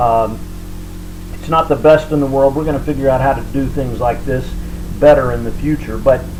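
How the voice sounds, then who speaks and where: A man speaks over background music, with audible room echo. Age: 60s. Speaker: cooking and diet vlogger. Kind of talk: video diary cooking tutorial. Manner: hesitant, many fillers.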